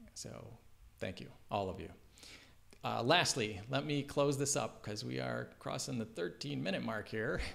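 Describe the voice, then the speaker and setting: Vocal fry with very wide pitch swings. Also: man, fairly low pitch for a man. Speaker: executive director giving organization updates. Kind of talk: video update monologue. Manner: fast; hesitant, with fillers and repetitions.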